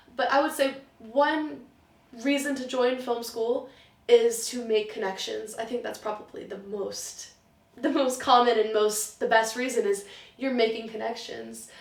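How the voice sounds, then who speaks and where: A woman with an American accent talks at a fairly slow pace and a fairly high pitch, with ordinary pitch variation. Noticeable background noise and audible room echo are present. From US, partly raised in Germany. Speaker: film student, writer and script supervisor. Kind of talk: interview. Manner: animated.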